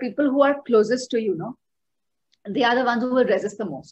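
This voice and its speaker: Fairly quick and high-pitched, a woman with an Indian accent talks with ordinary pitch variation. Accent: Indian English, code-switching with Hindi. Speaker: guest, coach on self-improvement. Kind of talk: podcast interview explanation. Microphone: video call.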